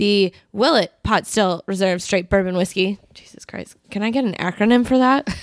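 Loud and animated, a woman speaks at medium pitch with ordinary pitch variation, at a moderate pace with hardly any pauses, in a dry, close sound with no echo. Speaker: podcast host. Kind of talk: casual chat. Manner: loud, animated.

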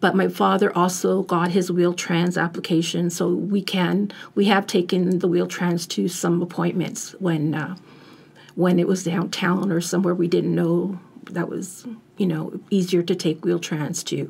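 Vocal fry marks this woman's fairly low-pitched voice, delivered with monotone, flat intonation at a fairly slow pace. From Italian family background. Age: 50s. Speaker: family caregiver. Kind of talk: interview. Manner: halting.

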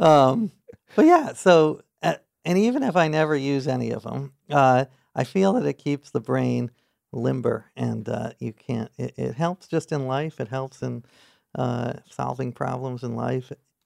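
This voice carries an American accent and moves at a fairly slow pace. The sound is dry and close, with no echo. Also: man. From New York City, Manhattan. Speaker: author and journalist. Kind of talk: interview.

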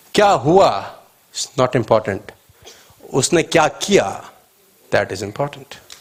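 A man with long, frequent pauses and very wide pitch swings. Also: fairly high pitch for a man. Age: 30s. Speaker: motivational speaker. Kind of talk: motivational seminar talk. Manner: animated.

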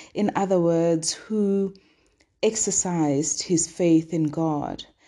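Against a quiet background, a woman speaks with a dark, mellow tone. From southern Africa, Sesotho-speaking. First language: Sesotho. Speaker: devotional podcast host. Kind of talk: daily devotional teaching.

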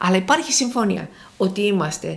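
A woman speaks in an unremarkable speaking voice. Her pitch varies in an ordinary way. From Thessaloniki, northern Greece. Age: 60s. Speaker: professor emerita of theology. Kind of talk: interview.

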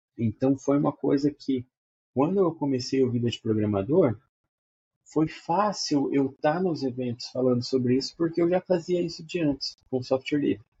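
A man talks at a moderate pace, somewhat breathy and fairly high-pitched, with ordinary pitch variation. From Brazil, Maringá, Paraná. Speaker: software developer, teacher and cartoonist. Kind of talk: casual interview.

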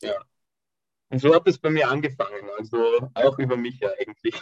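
With a dry, close sound and no echo, a man speaks in a somewhat breathy voice with fairly even intonation. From Austria. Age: 20s. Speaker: calisthenics athlete. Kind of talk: interview.

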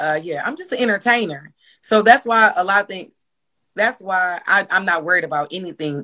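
Bright and sharp in tone, a woman with an American accent talks at a fairly quick pace. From Milwaukee, Wisconsin. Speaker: comedian and skit creator. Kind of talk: casual interview chat.

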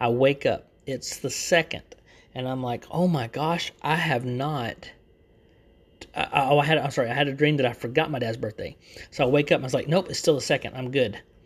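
A man with a Texan accent speaks in a fairly high, somewhat breathy voice. His intonation stays fairly even. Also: fairly quick pace. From Texas. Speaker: YouTuber and podcaster. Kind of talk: casual solo chat. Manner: talkative, rambling; casual, chatty.

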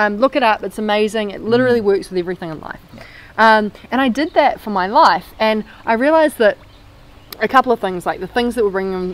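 Speaking at a very fast pace in a New Zealand accent, a woman uses a fairly high pitch and lively intonation, with big swings in loudness. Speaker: former marketing agency owner. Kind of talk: podcast interview. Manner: animated.

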